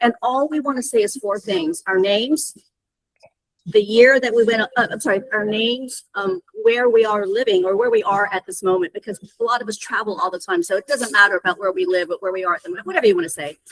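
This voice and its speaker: A woman's fairly high voice with lively intonation at a very fast pace, in a dry, close sound with no echo. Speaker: alumni group founder. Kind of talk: video call meeting. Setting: video call.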